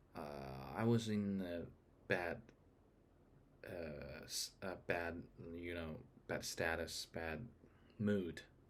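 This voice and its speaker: Speaking very slowly with a non-native accent, the voice shows ordinary pitch variation and long, frequent pauses. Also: man, very deep, low pitch for a man. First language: not English. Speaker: vlogger. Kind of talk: casual monologue. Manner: halting.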